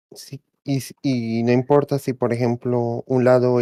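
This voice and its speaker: A South American Spanish accent at a moderate pace. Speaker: raid team member. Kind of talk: game explanation. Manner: halting.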